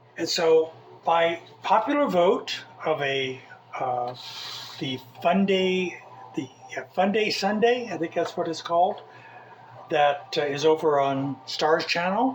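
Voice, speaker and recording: Long, frequent pauses break up this speech with an American accent, set against noticeable background noise. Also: man, high pitch for a man. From Southern California (Mojave Desert). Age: 60s. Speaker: cooking video host. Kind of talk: cooking tutorial. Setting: home kitchen. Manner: casual, hesitant with fillers.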